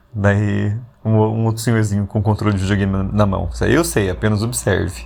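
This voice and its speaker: A man with a fairly low pitch and fairly even intonation uses an ordinary speaking voice. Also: moderate pace. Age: 40s. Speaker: podcast host. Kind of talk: casual reflective monologue. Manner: conversational, with frequent fillers.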